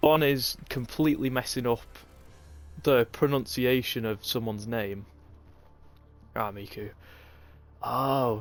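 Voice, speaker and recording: With a northern English accent, a man speaks at a fairly slow pace and ordinary pitch variation. Long, frequent pauses break up his speech over music in the background. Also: medium pitch for a man. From Northern England. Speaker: esports race commentator. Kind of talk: live commentary and casual chat with stream chat. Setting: livestream. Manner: casual, halting with fillers.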